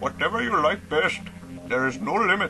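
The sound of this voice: Putting on a character voice, a man speaks at a moderate pace with a high pitch, lively intonation and a bright, sharp tone while faint music plays in the background.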